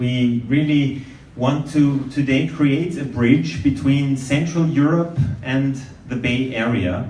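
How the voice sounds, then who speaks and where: There is audible room echo and noticeable background noise. A man with a fairly high pitch speaks at a very slow pace. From Austria, Vienna. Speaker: event moderator. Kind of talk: event moderation. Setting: event venue with audience.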